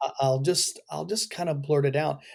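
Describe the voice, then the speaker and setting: The man talks fairly quickly. His recording is very clean, and the background is silent. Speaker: leadership consultant. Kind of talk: podcast interview. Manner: animated.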